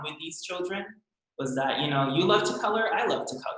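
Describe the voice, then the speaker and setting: In a Californian accent, a man talks over audible room echo. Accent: American, Californian. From San Francisco Bay Area, US (immigrant from Brazil). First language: Portuguese. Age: 20s. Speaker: professional ice skater. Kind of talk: casual interview.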